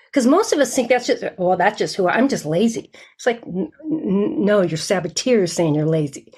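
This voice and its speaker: A woman at medium pitch, somewhat breathy, with very wide pitch swings and a fairly quick pace. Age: 60s. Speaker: sales mental fitness coach. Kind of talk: interview.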